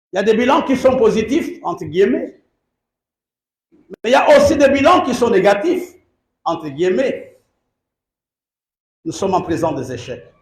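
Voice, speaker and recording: A man talks at an extremely high pitch with very wide pitch swings and a moderate pace. Long, frequent pauses break his speech amid audible room echo. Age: 60s. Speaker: bishop, pastor. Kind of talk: sermon. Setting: church service.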